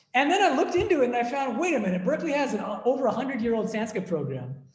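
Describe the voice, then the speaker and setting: A man with a Boston accent, in audible room echo. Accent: American (Boston) English. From US, Boston area. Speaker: monk and philosophy professor. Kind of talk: academic discussion Q&A. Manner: hesitant, repeats words.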